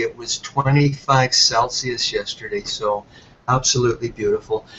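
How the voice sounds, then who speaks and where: Medium in pitch and somewhat breathy, a man's voice comes through. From Ireland. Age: 60s. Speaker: health product entrepreneur. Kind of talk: webinar presentation.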